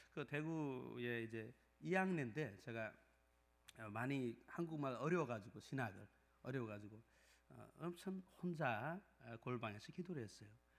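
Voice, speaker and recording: With long, frequent pauses, a man in a non-native Gyeongsang accent speaks at a fairly slow pace with lively intonation. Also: medium pitch for a man. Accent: non-native Korean with Gyeongsang dialect. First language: Nepali (speaking Korean). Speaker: pastor. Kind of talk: sermon; testimony. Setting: church. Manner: halting, many fillers.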